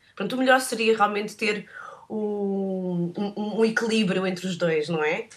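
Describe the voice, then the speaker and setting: A woman speaks at a fairly slow pace with medium pitch. Her intonation is fairly even, and noticeable background noise can be heard. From Portugal. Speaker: photographer. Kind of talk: interview. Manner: halting.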